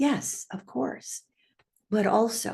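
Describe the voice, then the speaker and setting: At a very slow pace, a woman talks in a somewhat breathy voice. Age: 80s+. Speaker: trainer, speaker, author, coach. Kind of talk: inspirational talk to camera. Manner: upbeat.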